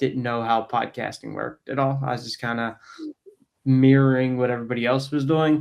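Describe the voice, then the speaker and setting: Here a man has an ordinary speaking voice with fairly even intonation. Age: 20s. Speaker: podcast host. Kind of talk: casual chat.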